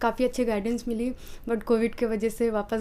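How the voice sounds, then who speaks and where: Her tone comes across as dark and mellow. The woman's pitch sits fairly high. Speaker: civil service exam aspirant. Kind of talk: interview. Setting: her rented room. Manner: fast; brisk, confident answers.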